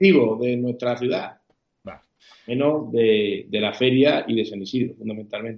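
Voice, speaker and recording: A man speaks in a normal speaking voice at medium pitch. His pace is fairly slow, and his pitch varies in an ordinary way. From Spain, Yecla (Murcia region). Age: 40s. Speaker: mayor. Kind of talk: casual interview.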